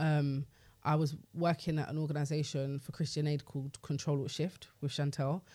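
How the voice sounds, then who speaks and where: On a very clean recording with a silent background, a man in a London accent speaks at a moderate pace in a fairly high, somewhat breathy voice with a dark, mellow tone. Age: 30s. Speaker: radio DJ and record label executive. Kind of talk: casual interview chat. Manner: animated.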